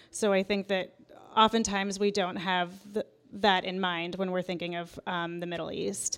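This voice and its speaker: Her intonation is monotone and flat, at a medium pitch. The woman speaks with an American accent at a moderate pace. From Iran, raised in US from age two. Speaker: author and TV writer. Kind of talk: interview conversation. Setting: live event recording.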